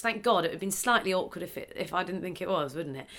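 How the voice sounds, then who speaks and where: A woman speaks in a bright, sharp tone. Vocal fry runs through her voice. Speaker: podcast host. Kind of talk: casual interview chat.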